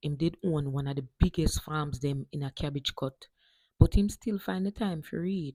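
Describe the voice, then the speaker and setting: A woman speaks at a moderate pace with lively intonation. The sound is dry and close with no echo, and the recording is very clean with a silent background. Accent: Jamaican. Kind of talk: storytelling reading aloud.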